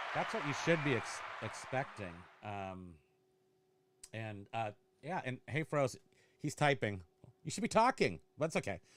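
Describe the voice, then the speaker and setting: Speaking at a fairly slow pace with long, frequent pauses, a man has a medium pitch and an animated tone with very wide pitch swings. The recording is very clean, with a silent background. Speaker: eBay reseller and channel host. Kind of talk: casual chat.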